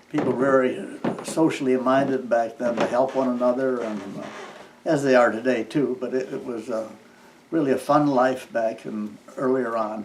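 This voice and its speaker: A man with a Midwestern US accent speaks at medium pitch and a moderate pace with fairly even intonation, amid noticeable background noise and audible room echo. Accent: rural Midwestern American. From US Midwest (eastern Iowa, rural). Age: 70s. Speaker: farmer. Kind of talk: oral history interview. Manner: halting, with frequent fillers.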